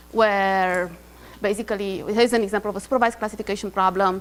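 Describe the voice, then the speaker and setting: A woman's medium-pitched voice over background music. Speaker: university lecturer. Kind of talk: lecture. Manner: fast; hesitant with many fillers.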